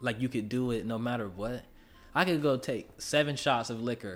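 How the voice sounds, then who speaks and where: Over music in the background, a man speaks at a fairly slow pace in a medium pitch with ordinary pitch variation. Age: 20s. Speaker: rapper. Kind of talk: casual chat.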